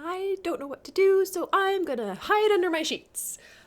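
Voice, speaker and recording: Squeaky put-on character voice at a moderate pace with ordinary pitch variation. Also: woman, extremely high pitch for a woman. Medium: read story.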